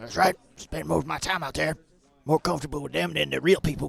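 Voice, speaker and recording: A man's raspy, put-on character voice at medium pitch, delivered at a very fast pace. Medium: actual play. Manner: simple, earnest.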